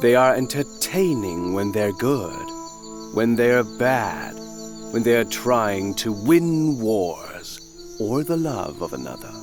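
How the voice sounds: A man's put-on character voice, fairly low, slow and full of big pitch swings, with faint music in the background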